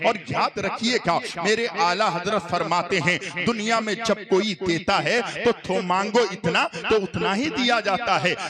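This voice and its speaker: Against noticeable background noise, a man in a raised, projected voice speaks at a very slow pace and a high pitch with hardly any pauses. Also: ordinary pitch variation. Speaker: Islamic preacher. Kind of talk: sermon. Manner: animated.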